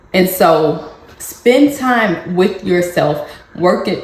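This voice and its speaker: Ordinary pitch variation comes through over noticeable background noise and audible room echo. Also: woman. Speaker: parenting vlogger. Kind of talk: casual advice vlog.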